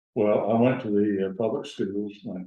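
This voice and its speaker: A fairly low-pitched man at a fairly slow pace, with audible room echo. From US South, Gadsden, north Alabama. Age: 80s+. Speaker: retired lawyer. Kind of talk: oral history interview.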